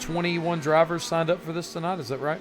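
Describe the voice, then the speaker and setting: High-pitched male speech against noticeable background noise. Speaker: sim racing broadcast commentator. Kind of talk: live commentary. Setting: live stream broadcast. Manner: casual, halting.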